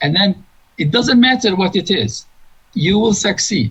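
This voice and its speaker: A man speaks with a Turkish accent at a high pitch. His pitch swings very widely. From Turkey. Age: 60s. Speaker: engineering professor. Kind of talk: interview.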